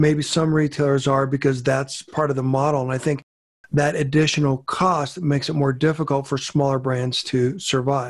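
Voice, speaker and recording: Speaking at a moderate pace over a quiet background, a man with a fairly high pitch keeps his intonation monotone and flat. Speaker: podcast host. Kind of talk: interview. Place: home room. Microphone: studio mic.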